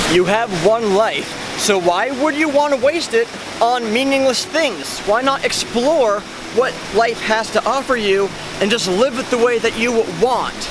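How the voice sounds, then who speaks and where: An extremely high-pitched man at a fairly slow pace, very even in loudness, with ordinary pitch variation and noticeable background noise. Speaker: vlogger. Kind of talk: vlog monologue. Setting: outdoors by a fountain. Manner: animated, halting.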